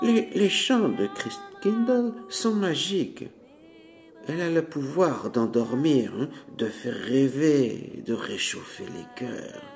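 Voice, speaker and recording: Using a put-on character voice, a man speaks very slowly at a fairly high pitch, gruff with hissing and rumbling, his pitch swinging very widely. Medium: read story. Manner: grumbling, gruff.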